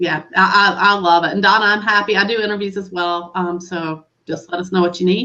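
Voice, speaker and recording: In a Southern US accent, a woman speaks at medium pitch and a fairly quick pace, her tone bright and sharp and her intonation flat and monotone. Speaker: webinar host. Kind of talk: casual chat.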